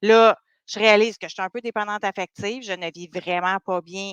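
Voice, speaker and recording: A woman talks at a moderate pace and medium pitch in a Quebec accent. The sound is dry and close with no echo, over a quiet background. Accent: Québécois French. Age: 40s. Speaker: dating coach. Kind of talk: podcast interview.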